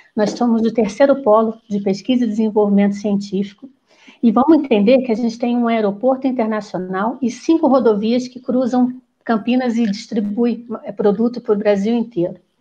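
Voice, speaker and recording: Somewhat breathy and dark, mellow in tone, a woman's fairly high voice moves at a moderate pace with fairly even intonation. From Rio de Janeiro, Brazil. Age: 50s. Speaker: psychologist and political candidate. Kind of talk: panel discussion.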